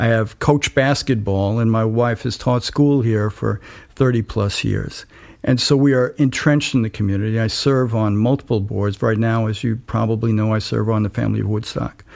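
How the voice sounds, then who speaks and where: Against a silent background in a very clean recording, a man speaks at a moderate pace in a plain, everyday voice, medium in pitch with fairly even intonation. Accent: American. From New York City (Staten Island). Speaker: congressional candidate. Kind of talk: political interview.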